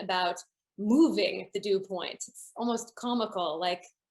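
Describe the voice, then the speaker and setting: An ordinary speaking voice with a Canadian accent, at a moderate pace with ordinary pitch variation. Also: woman. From Canada, Toronto. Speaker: building science consultant. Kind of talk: lecture.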